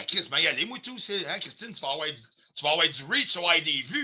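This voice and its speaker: The voice is a man's. It has a bright, sharp tone. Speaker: livestreamer. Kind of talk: heated rant on livestream. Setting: live stream. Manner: loud, aggressive.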